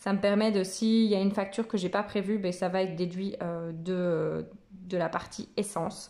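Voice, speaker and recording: The speaker is a woman at a moderate pace. Her intonation stays monotone and flat. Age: 30s. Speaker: personal finance vlogger. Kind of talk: casual tutorial vlog. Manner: hesitant, many fillers.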